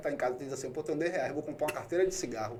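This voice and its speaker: A man speaks with a Bahian accent. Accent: Bahian accent, noticeable to locals. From Bahia, Brazil (Salvador). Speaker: podcast host. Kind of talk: casual interview chat. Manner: animated, conversational.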